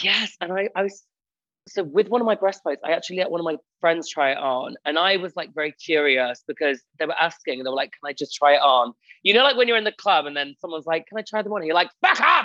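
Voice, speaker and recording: Delivered at a very fast pace with lively intonation, the voice has a bright, sharp tone and a dry, close sound with no echo. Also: man, high pitch for a man. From England, Lincolnshire (Spalding). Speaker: drag queen and comedian. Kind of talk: casual chat. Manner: animated.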